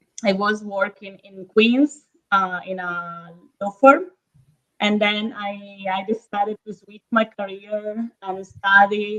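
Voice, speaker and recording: Speaking very slowly at medium pitch, a woman talks with an Italian accent. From northern Italy, Verona. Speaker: real estate agent. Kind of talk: casual interview. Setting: live stream. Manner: hesitant, many fillers.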